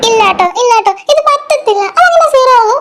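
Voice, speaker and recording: Putting on a character voice, a woman speaks at an extremely high pitch with lively intonation. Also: moderate pace. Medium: read story. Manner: spirited.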